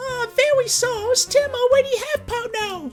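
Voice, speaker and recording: Extremely high-pitched, a put-on character voice. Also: moderate pace. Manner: goofy, silly.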